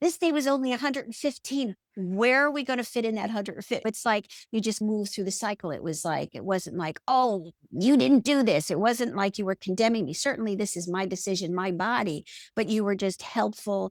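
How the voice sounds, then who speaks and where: A woman with an unremarkable speaking voice talks at a fairly quick pace, medium in pitch with lively intonation. The sound is dry and close with no echo. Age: 60s. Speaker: podcast guest, health coaching client. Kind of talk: casual interview chat. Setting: podcast interview.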